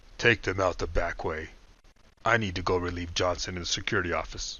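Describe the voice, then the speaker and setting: A man's put-on character voice, very deep and low, at a fairly quick pace. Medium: read story. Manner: stern, authoritative.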